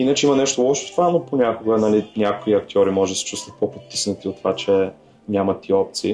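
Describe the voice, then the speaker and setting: Music plays in the background. A man with a fairly low voice speaks very fast with lively intonation. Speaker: actor and entrepreneur. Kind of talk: podcast interview.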